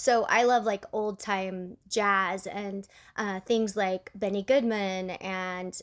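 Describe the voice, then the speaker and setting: The recording is very clean with a silent background. A woman speaks at medium pitch with an American accent. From Utah, US. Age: 40s. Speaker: amputee vlogger. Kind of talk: casual Q&A vlog. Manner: chatty, many fillers and restarts.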